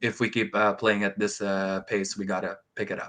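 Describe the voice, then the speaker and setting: Against a quiet background, a man with a non-native accent speaks with a fairly low pitch and a bright, sharp tone. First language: not English. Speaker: competitive card game player. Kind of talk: podcast interview. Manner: halting, many fillers.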